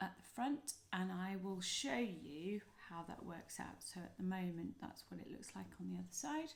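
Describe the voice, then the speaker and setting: A somewhat breathy woman's voice at medium pitch, with lively intonation and a moderate pace. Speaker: crochet designer and author. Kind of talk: tutorial. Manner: hesitant, many fillers.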